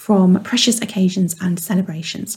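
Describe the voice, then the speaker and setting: A woman with a dark, mellow tone speaks somewhat breathily at a fairly quick pace. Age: 40s. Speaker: weight mindset coach and podcast host. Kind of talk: monologue podcast, motivational coaching talk.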